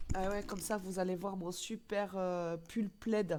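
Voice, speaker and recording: An unremarkable speaking voice from a woman, medium in pitch, with fairly even intonation and a fairly slow pace. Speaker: streamer. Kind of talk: live stream reaction commentary.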